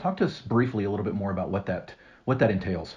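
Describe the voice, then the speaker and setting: Very fast and somewhat breathy, the voice has a dark, mellow tone and fairly even intonation. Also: man. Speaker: podcast host. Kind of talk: interview. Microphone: phone backup recording, poor audio.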